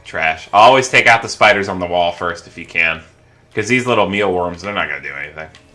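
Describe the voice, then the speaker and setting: With music in the background, a man talks fairly quickly in a relaxed tone at a very deep, low pitch, showing ordinary pitch variation and big swings in loudness. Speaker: gaming let's play host. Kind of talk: gameplay commentary. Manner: casual, relaxed.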